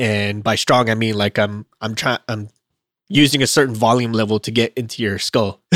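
The man's delivery is monotone and flat at a medium pitch. He keeps a moderate pace, and the sound is dry and close with no echo. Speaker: podcast co-host, aircraft maintenance. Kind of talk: casual chat podcast discussion.

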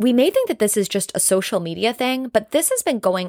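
A woman speaks in an animated tone. The recording is very clean and dry, close with no echo and a silent background. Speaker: podcast host. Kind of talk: solo podcast monologue, motivational talk. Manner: fast talker, loud, animated; excitable, jumps between topics, cuts people off.

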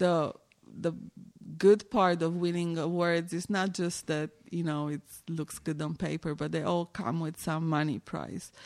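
Someone with a Romanian accent speaks at a fairly slow pace with fairly even intonation. The recording is very clean, its background silent. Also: woman, fairly low pitch for a woman. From Romania, Timișoara. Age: 40s. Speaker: visual artist. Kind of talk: interview.

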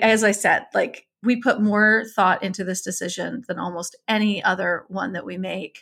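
At a fairly slow pace, a woman with a fairly high pitch talks in an unremarkable speaking voice. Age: 50s. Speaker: divorce coach. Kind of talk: interview.

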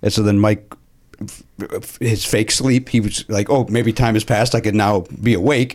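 In a slight Chicago accent, the speaker holds a very even loudness and fairly even intonation at a moderate pace, with long, frequent pauses. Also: man, fairly low pitch for a man. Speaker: podcast host. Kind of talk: casual chat.

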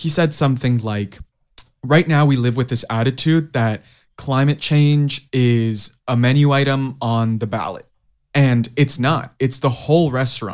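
On a very clean recording with a silent background, a man with an unremarkable speaking voice and medium pitch talks at a fairly slow pace with fairly even intonation. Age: young. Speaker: youth climate activist, podcast co-host. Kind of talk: casual interview.

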